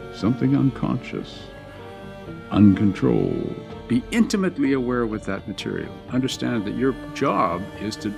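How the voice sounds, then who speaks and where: Someone speaks at a fairly quick pace while music plays in the background. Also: man. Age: 70s. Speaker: TV news correspondent. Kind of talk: interview answer.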